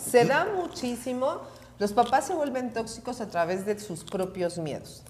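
A woman with a Mexican accent speaks at a fairly slow pace in a high pitch. Her very wide pitch swings come with noticeable background noise. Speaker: recovery speaker and counselor. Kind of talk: casual chat.

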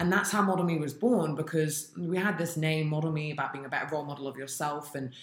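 A woman talks very fast with hardly any pauses, her pitch very deep and low with ordinary variation. Noticeable background noise runs under the recording. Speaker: podcast host and founder. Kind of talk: casual interview chat.

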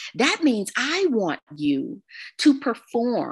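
The voice is animated and energetic, with very wide pitch swings. Behind it the background is quiet. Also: woman. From Texas. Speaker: professional speaker. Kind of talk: interview.

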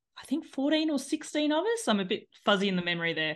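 In an Australian accent, a woman talks at a fairly quick pace with lively intonation. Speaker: cycling business owner and ultra cyclist. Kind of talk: casual podcast interview.

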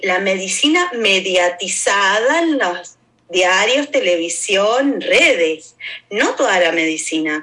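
Very slow delivery with very wide pitch swings and very even loudness. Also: woman, medium pitch for a woman. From Argentina. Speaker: activist and educator. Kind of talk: interview conversation.

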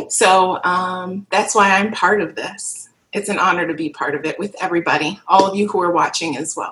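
A woman's medium-pitched voice, an ordinary speaking voice, at a moderate pace with fairly even intonation and hardly any pauses. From Kenosha, Wisconsin. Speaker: worship leader, panelist. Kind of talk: livestream panel discussion.

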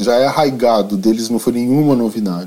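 This man has a dark, mellow tone and a medium pitch, with ordinary pitch variation at a moderate pace. The recording is very clean, with a silent background. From Rio de Janeiro, Brazil. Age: 40s. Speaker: journalist and tour guide. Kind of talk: interview.

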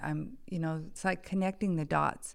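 On a very clean recording with a silent background, a fairly low-pitched woman talks with an American accent. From California, Bay Area. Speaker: podcast guest sharing life story. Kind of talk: testimony.

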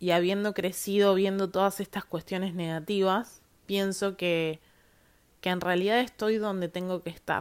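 In a very clean recording with a silent background, a woman speaks at a medium pitch with a Patagonian accent. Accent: Argentine Spanish (Patagonian). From Argentina, Viedma, Río Negro (Patagonia). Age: 30s. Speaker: podcast host, lawyer. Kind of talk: solo monologue podcast. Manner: casual with frequent fillers and repetitions.

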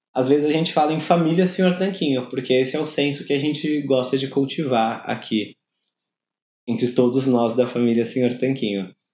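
Talking at a moderate pace, a man has a plain, everyday voice. His pitch sits fairly high. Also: ordinary pitch variation. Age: 20s. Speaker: podcast host. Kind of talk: personal letter read to listeners.

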